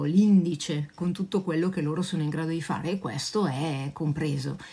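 At a moderate pace, a woman speaks in a somewhat breathy voice with a dark, mellow tone and ordinary pitch variation. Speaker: dog trainer answering viewers. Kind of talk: casual live Q&A chat. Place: home room. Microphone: phone near.

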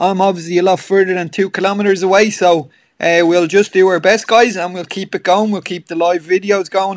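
A man with an Irish accent, high-pitched, hardly pausing at all, on a very clean recording with a silent background. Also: fairly quick pace. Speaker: gym trainer. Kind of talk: pre-class livestream chat and announcements. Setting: at home on a two-way call. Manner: chatty, filler-heavy, upbeat.

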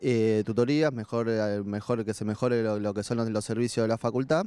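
The speaker is a man with a dark, mellow tone. He talks at a fairly quick pace. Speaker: student activist. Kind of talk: campaign statement.

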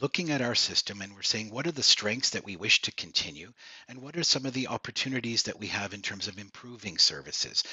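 A man speaks at a fairly quick pace and fairly low pitch, with a bright, sharp tone, a slightly husky edge and lively intonation.

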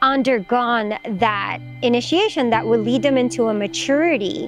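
Clear music plays behind a woman speaking at a fairly slow pace. The sound is dry, with no echo. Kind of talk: interview answer. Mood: calm, reflective, earnest. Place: forest.

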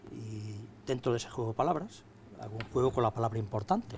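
Against light background noise, a man speaks in a somewhat breathy voice. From Spain, Castilla-La Mancha (Casas de Benítez, Cuenca); Castilla-La Mancha, Spain. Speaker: writer and poet; guest. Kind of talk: interview. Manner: halting. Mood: calm, reflective. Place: studio. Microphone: lapel.

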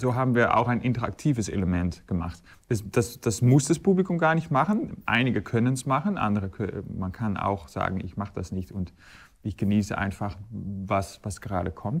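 A man with a Dutch accent speaks at a fairly low pitch. His voice is somewhat breathy, with lively intonation. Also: moderate pace, quiet background. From Netherlands. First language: Dutch (speaking German). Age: 40s. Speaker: recorder player and conductor. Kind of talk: interview. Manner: halting, many fillers and repetitions. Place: hall. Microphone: lapel.

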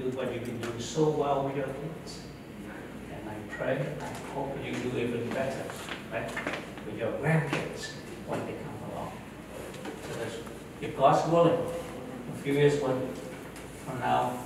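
Against noticeable background noise and strong room echo, a man speaks at a moderate pace with fairly even intonation and long, frequent pauses. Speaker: speaker. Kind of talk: after-dinner speech with storytelling. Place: hall.

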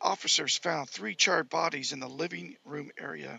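A man speaks at a moderate pace with vocal fry. The sound is dry, with no echo. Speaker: amateur web show host. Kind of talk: reading news aloud. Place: home room. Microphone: headset.

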